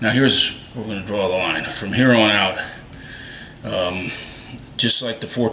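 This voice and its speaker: Over noticeable background noise and audible room echo, a man with a fairly low pitch talks at a moderate pace with long, frequent pauses. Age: 60s. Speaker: Bigfoot video maker. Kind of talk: casual monologue to camera. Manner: animated.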